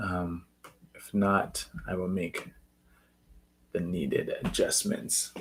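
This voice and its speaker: A man talks at a very slow pace with long, frequent pauses. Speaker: spiritual content creator. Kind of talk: live stream talk. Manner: soft-spoken.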